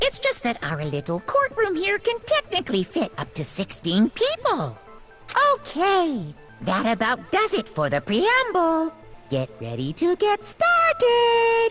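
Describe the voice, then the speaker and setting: A put-on character voice at an extremely high pitch and a fairly slow pace, with clear music in the background. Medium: game stream. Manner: gleeful, sing-song.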